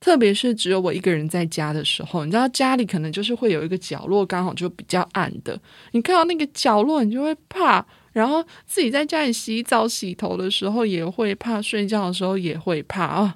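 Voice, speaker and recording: A woman in a Taiwanese accent, medium in pitch, with very wide pitch swings and a fairly quick pace, on a very clean recording with a silent background. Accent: Taiwanese Mandarin. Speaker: podcast host. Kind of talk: casual solo monologue.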